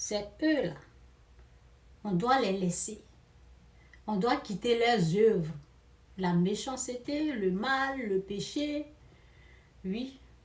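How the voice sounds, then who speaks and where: At a very slow pace with long, frequent pauses, a somewhat breathy woman speaks at a fairly high pitch with lively intonation, and audible room echo is present. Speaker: preacher. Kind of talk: sermon. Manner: emphatic, repetitive.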